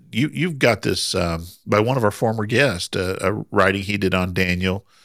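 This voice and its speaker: A man with an American accent, a normal speaking voice and ordinary pitch variation, on a very clean recording with a silent background. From US Midwest, Southern Indiana. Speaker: Bible podcast co-host. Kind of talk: casual Bible study discussion.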